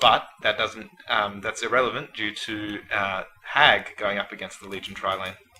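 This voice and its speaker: A man is speaking in a monotone, flat intonation. Noticeable background noise is present. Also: fairly low pitch for a man, moderate pace. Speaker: guest shoutcaster. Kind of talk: game shoutcast analysis. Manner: hesitant, filler words.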